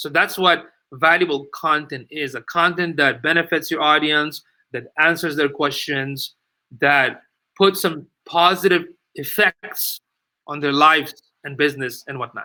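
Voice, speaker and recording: Big swings in loudness mark this man's speech, which has a non-native accent, a fairly high pitch, a bright, sharp tone, and fairly even intonation. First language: not English. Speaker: digital marketing expert. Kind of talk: casual chat. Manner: halting.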